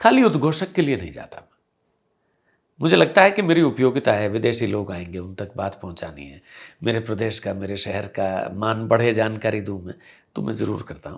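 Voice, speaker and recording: A man with a normal speaking voice, fairly low in pitch, with lively intonation, big swings in loudness and a moderate pace, on a very clean recording against a silent background. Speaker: English teacher and event anchor. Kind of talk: interview.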